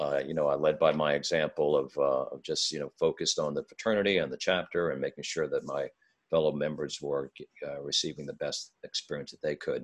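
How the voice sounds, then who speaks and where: A man talks at a fairly quick pace, with big swings in loudness. The sound is dry and close, without echo. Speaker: pastor. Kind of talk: interview.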